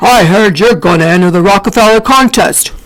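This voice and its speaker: Put-on character voice, fairly quick in tempo and pitched in the middle range. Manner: loud, commanding.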